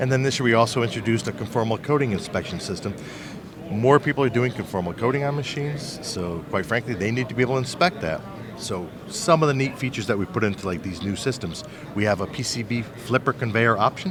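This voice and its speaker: Over noticeable background noise, a man speaks very fast in a medium-pitched voice. His intonation is lively. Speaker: equipment company representative. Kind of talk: trade show interview. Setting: trade show floor.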